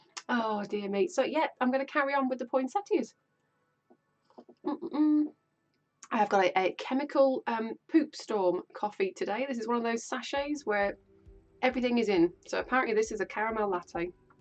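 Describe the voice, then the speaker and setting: Speaking with an English Midlands accent, a woman in a high pitch uses an animated tone and very wide pitch swings at a moderate pace, with long, frequent pauses. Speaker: quilting streamer. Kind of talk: live stream chat. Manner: chatty and animated.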